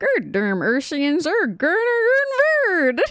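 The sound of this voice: A put-on character voice speaks at a very slow pace in a high pitch. Its pitch swings very widely.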